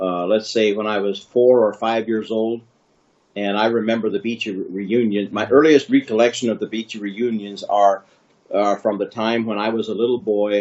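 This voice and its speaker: At a moderate pace, a man talks in a fairly low, monotone voice with flat intonation. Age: 60s. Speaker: family elder interviewee. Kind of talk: family history interview. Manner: halting, many fillers.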